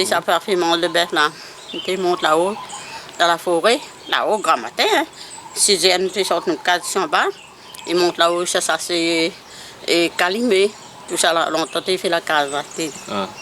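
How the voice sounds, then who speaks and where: A woman talks at a fairly low pitch and moderate pace, with ordinary pitch variation and long, frequent pauses. Noticeable background noise is present. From La Saline, Réunion Island. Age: 70s. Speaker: former cattle keeper. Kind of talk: interview answer.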